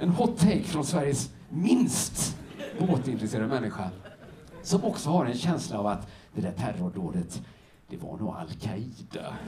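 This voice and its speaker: With audible room echo and noticeable background noise, a man speaks at a medium pitch and moderate pace, his pitch swinging very widely. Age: 40s. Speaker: stand-up comedian. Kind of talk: stand-up. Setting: stage with audience. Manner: animated.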